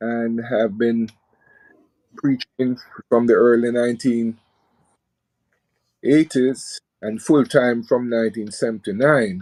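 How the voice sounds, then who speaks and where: Very slow speech comes from a man with a dark, mellow tone. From Jamaica. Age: 70s. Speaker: preacher. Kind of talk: radio interview. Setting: live radio.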